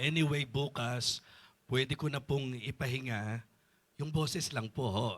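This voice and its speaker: At a very slow pace, a man speaks at a medium pitch in a somewhat breathy voice with ordinary pitch variation, on a very clean recording with a silent background. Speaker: bishop and preacher. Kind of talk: sermon.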